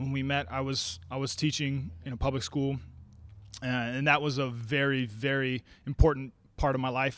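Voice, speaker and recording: In a normal speaking voice, a man with an American accent talks at a moderate pace and medium pitch, his intonation fairly even. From Oregon, US. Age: 30s. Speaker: martial arts champion and gym owner. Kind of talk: interview.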